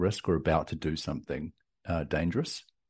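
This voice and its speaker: A man with a New Zealand accent speaks at a very deep, low pitch in a dark, mellow tone. His pace is fairly quick, his intonation fairly even, and the background quiet. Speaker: tech company CEO and entrepreneur. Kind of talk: interview. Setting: remote call.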